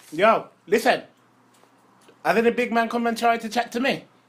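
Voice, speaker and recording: This male speaker's voice is extremely high in pitch. He keeps to a moderate pace. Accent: London. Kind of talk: casual chat. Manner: animated.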